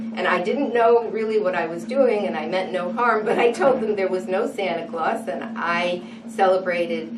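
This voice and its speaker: In an American accent, a woman talks at a medium pitch and moderate pace with lively intonation, amid noticeable background noise and audible room echo. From New England, US (New London, Connecticut). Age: 60s. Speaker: interviewee. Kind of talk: oral history interview.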